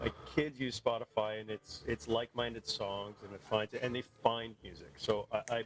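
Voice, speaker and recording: Music plays in the background as a man talks at a moderate pace and a medium pitch. The sound is dry and close with no echo, and his pitch varies in an ordinary way. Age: 50s. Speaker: music enthusiast guest. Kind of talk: casual chat. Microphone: poor audio quality.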